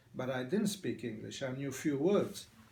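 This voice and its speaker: This speaker uses an Italian accent and a fairly slow pace. Pitch varies in an ordinary way, and audible room echo surrounds the voice. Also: man. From Italy. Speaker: immigrant barber. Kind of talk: oral history interview. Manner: halting.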